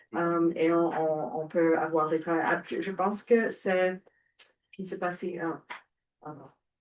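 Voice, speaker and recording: Speaking very slowly with an English accent, a woman leaves long, frequent pauses. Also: fairly low pitch for a woman, fairly even intonation. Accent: English-speaker accent in French. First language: English (speaking French). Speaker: panelist, French educator. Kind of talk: panel discussion. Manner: halting, many hesitations.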